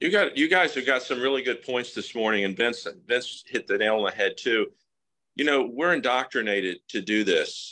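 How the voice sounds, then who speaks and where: Pitched at a medium level, a man speaks in a bright, sharp tone. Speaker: coach or group leader. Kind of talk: live group discussion. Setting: group video call. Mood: encouraging, motivational. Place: home room. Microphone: video call.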